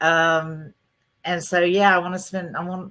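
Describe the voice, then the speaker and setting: Speaking at a moderate pace with a strong Southern US accent, a woman has a fairly low pitch and a bright, sharp tone. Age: 60s. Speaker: business founder. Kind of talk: casual interview chat. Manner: halting, repeats words.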